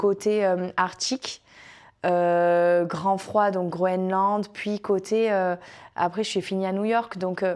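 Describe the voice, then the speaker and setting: On a very clean recording with a silent background, a woman speaks at medium pitch and a very slow pace. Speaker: former cruise ship dancer. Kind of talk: interview answer.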